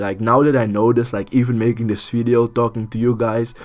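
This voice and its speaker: A man talks at a medium pitch in a dark, mellow tone. He has a strong non-native accent. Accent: thick non-native. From Suriname. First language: Dutch. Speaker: YouTube artist. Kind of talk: casual vlog talk. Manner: halting, many fillers.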